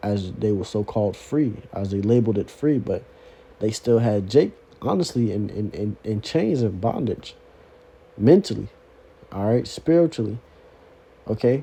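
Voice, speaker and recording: A man's somewhat breathy voice has a dark, mellow tone and long, frequent pauses. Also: fairly low pitch for a man, ordinary pitch variation. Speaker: religious teacher. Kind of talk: sermon. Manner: fast; repetitive stammering fillers.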